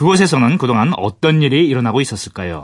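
Against a quiet background, a man speaks at a medium pitch with vocal fry and very wide pitch swings. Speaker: radio history show host. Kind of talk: radio interview and scripted narration.

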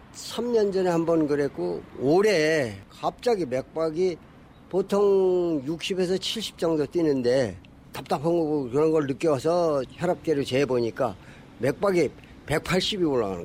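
Speaking very slowly, a man uses lively intonation in a fairly high voice. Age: 70s. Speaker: retired taekwondo instructor, interviewee. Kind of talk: recorded interview.

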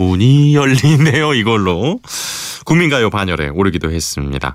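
This man talks very slowly. The pitch of his voice rises and falls across a very wide range. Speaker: radio DJ. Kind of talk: radio show hosting. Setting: radio studio. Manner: warm, conversational.

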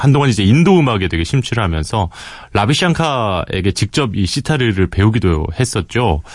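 A man with an ordinary speaking voice talks at a moderate pace with lively intonation. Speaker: radio announcer. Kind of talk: casual radio chat, recommending a song.

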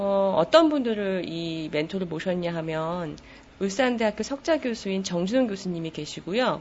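This is a normal speaking voice at a moderate pace, with lively intonation. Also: woman. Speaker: book editor. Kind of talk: interview.

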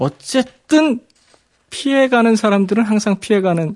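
High-pitched male speech with lively intonation and a dry, close sound with no echo. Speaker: history columnist. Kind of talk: radio interview about history. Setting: radio studio. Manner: explanatory, knowledgeable.

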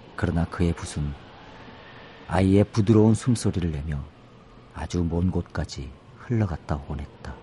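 Speaking at a moderate pace with long, frequent pauses, a man uses a very deep, low pitch and ordinary pitch variation. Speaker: poet. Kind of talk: poetry reading. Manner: halting, many fillers.

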